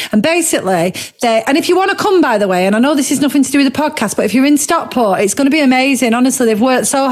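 A woman talks at a very fast pace. Her pitch is high, and there is noticeable background noise. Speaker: podcast host. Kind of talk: casual chat. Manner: fast talker.

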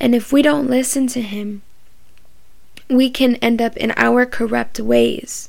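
A woman's high-pitched, monotone, flat delivery at a fairly slow pace, with long, frequent pauses. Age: 20s. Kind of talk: bible study talk. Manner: casual, filler-heavy.

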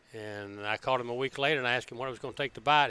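In a Southern US accent, the speaker talks at a very fast pace with a bright, sharp tone. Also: man. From Alabama. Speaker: car builder. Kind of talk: casual chat. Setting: car show floor.

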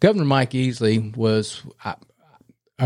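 A man with a North Carolina accent. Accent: Southern US (North Carolina). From North Carolina, Gaston County. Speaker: retired state trooper, political candidate. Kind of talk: casual chat interview.

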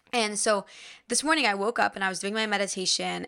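The voice has a bright, sharp tone and fairly even intonation at a fairly quick pace. The recording is very clean with a silent background. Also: woman. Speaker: spiritual podcast host and yoga teacher. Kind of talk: casual solo monologue. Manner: casual, filler-heavy.

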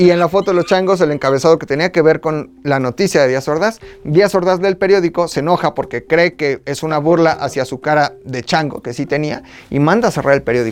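A man speaks at a fairly quick pace in a fairly high pitch, with an animated tone and ordinary pitch variation. Noticeable background noise runs underneath. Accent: central Mexican. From Mexico, State of Mexico. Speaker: podcast host. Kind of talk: casual chat.

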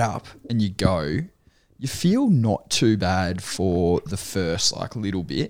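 A man with an Australian accent talks with very wide pitch swings. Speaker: podcast co-host. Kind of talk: casual chat.

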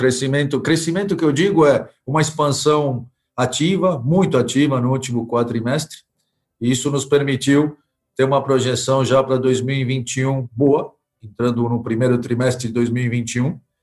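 Somewhat breathy, the voice moves at a fairly slow pace with fairly even intonation and very even loudness. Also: man, medium pitch for a man. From Argentina. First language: Spanish (speaking Portuguese). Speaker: company director. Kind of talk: interview. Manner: halting.

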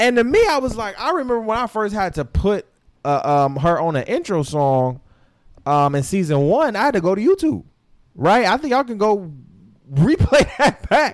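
In a very clean recording with a silent background, a man with a high pitch speaks at a moderate pace in an animated tone, with very wide pitch swings. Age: 20s. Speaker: podcast host. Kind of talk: casual chat.

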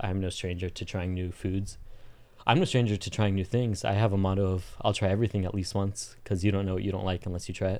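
Very fast and monotone, a man's fairly low voice carries a dark, mellow tone with flat intonation. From Southern California. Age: 20s. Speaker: podcast guest. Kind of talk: casual chat. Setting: studio.

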